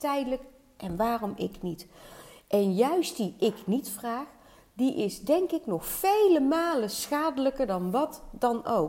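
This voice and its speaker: Speaking at a very slow pace, a woman uses a high pitch and very wide pitch swings in a dark, mellow tone. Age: 50s. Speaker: weight-loss and hormone coach. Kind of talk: solo podcast monologue.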